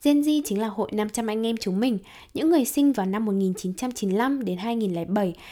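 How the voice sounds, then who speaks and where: On a very clean recording with a silent background, a woman with a Hanoi accent speaks in a dark, mellow tone at a fairly high pitch, with ordinary pitch variation. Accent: Northern Vietnamese (Hanoi). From Hanoi, northern Vietnam. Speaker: podcast host. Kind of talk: solo podcast monologue, casual. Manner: very fast talker; casual, conversational.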